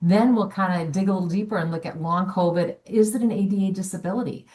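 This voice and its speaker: A woman, somewhat breathy, at a fairly quick pace with ordinary pitch variation. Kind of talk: webinar presentation. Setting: online webinar. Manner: fast.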